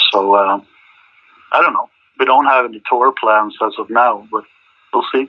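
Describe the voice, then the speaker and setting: Speaking at a moderate pace with long, frequent pauses, a man talks with a Swedish accent. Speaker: rock band singer and guitarist. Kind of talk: interview. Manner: halting.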